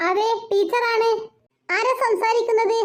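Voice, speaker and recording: A woman in a put-on character voice, squeaky and extremely high-pitched, flat and monotone. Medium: cartoon. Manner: calm, matter-of-fact.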